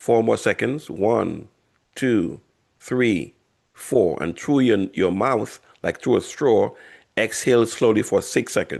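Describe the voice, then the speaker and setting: This man's voice has vocal fry and ordinary pitch variation. The background is quiet. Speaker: health educator. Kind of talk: guided breathing exercise; workshop.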